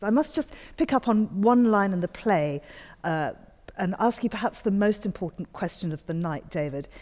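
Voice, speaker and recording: A woman uses an ordinary speaking voice at medium pitch. She goes at a moderate pace with lively intonation. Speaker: radio host. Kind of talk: interview. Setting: studio.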